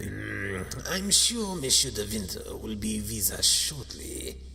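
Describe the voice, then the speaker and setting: Over clear background noise, a man does a raspy put-on character voice at a fairly slow pace. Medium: read story. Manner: falsely sweet, condescending.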